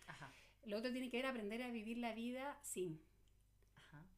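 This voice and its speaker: At a moderate pace, a woman with a fairly high voice speaks with vocal fry. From Chile. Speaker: psychologist. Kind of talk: casual chat.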